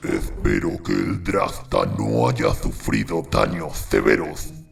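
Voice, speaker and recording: A man puts on a character voice, growling at a very deep, low pitch. He speaks at a fairly slow pace over clear music in the background. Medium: read story. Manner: gruff, bossy.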